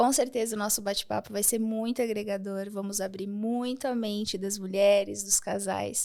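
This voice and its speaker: A woman's voice carries a dark, mellow tone and fairly even intonation. She speaks with hardly any pauses. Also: medium pitch for a woman, moderate pace. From Rio Grande do Sul, Brazil (small inland town). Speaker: architect and women's empowerment speaker. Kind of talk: interview podcast.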